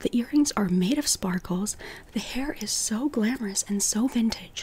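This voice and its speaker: A moderate pace over noticeable background noise. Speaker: style and body type consultant. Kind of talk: casual video tutorial. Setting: home recording at night. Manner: quiet, hushed at night; animated.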